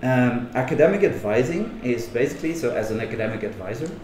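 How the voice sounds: A man speaks fast at a medium pitch, with lively intonation. Room echo is audible around him.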